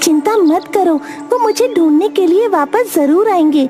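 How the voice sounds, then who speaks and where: A female-sounding cartoonish character voice squeaks at an extremely high pitch. Clear music plays in the background. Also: moderate pace. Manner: playful, teasing.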